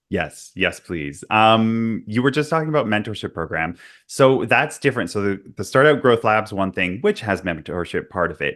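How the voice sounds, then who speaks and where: Against a quiet background, a man with a normal speaking voice talks at a moderate pace, fairly low in pitch, with lively intonation. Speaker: podcast host. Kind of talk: podcast interview.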